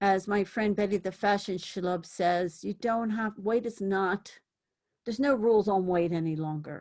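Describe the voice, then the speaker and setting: Using an ordinary speaking voice, a woman talks at a moderate pace with a medium pitch and ordinary pitch variation. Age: 60s. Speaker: thrift fashion vlogger. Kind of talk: casual vlog chat.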